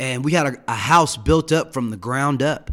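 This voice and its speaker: A man with an American accent and a fairly high pitch delivers an ordinary speaking voice at a fairly quick pace. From Denver, Colorado. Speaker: addiction recovery director. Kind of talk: interview, personal recovery story.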